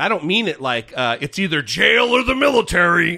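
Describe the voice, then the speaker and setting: Putting on a growling character voice, a man speaks at a moderate pace in a high pitch with very wide pitch swings. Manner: raised voice with a growl.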